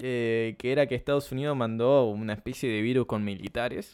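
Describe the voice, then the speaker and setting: A man talks with a Uruguayan accent at a moderate pace. His pitch varies in an ordinary way. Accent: Rioplatense Spanish (Uruguayan). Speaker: podcast co-host. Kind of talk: casual chat. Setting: home.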